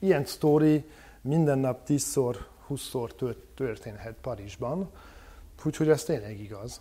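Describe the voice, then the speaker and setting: A somewhat breathy man with a dark, mellow tone at a very slow pace with long, frequent pauses. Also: medium pitch for a man, ordinary pitch variation. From France. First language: French (speaking Hungarian). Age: 30s. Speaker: political activist. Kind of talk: interview. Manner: halting, with fillers.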